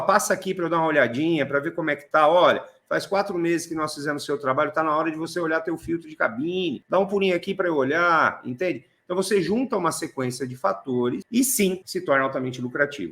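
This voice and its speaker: At a very fast pace, a man speaks in a fairly high voice. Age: 40s. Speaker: automotive air conditioning technician. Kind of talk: interview conversation.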